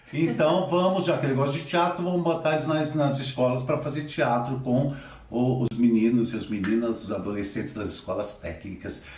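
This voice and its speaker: Amid noticeable background noise and audible room echo, a man speaks at a medium pitch with lively intonation. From Assis, interior of São Paulo state, Brazil. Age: 60s. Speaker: theatre director and teacher. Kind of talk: interview.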